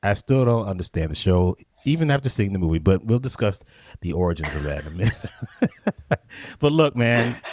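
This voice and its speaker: A man with a fairly low pitch, fairly quick pace, very wide pitch swings and long, frequent pauses. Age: 50s. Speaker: podcast host and drummer. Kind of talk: casual interview.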